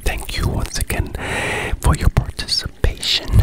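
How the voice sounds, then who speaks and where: A man is whispering. His voice stays at a whisper throughout. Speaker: ASMR creator. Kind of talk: ASMR trigger word whispers. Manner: whispered, soft-spoken, slow. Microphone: studio mic.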